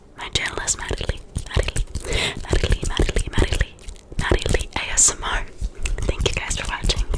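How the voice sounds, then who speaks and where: A woman whispers in a soft-spoken way at a moderate pace. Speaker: ASMR creator. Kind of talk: ASMR outro chat. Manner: soft close-mic whisper. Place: home room. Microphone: studio mic.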